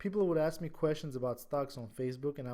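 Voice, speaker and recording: With an Armenian accent, this voice has a dark, mellow tone and ordinary pitch variation. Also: man. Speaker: stock trading educator. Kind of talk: tutorial. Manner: halting; casual.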